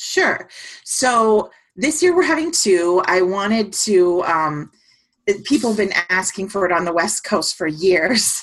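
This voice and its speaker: A woman with a medium pitch talks at a fairly slow pace, her intonation lively. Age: 50s. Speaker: nanny and conference organizer. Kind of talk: casual interview chat. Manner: halting, many fillers.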